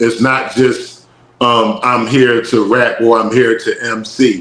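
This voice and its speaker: A man with a Philadelphia accent speaks at a very slow pace. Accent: Philadelphia, when talking. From North Philadelphia, US. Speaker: rapper and musician. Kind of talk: casual interview chat.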